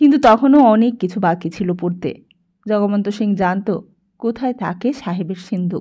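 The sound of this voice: Someone reads in an unforced voice while the background stays quiet.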